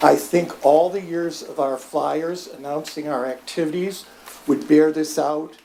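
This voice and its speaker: The speaker talks at a fairly slow pace. Background noise is noticeable throughout. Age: 70s. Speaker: public commenter at city meeting. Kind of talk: public comment. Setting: city commission meeting.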